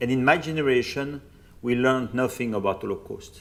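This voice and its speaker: With a French accent, a man talks at a medium pitch. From France, Burgundy. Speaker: priest and Holocaust researcher. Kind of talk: public lecture.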